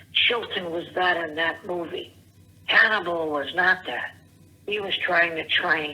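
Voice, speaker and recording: A woman speaks at a fairly slow pace with fairly even intonation and a fairly low pitch, over noticeable background noise. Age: 70s. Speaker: caller. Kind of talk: voicemail rant. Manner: rambling, halting.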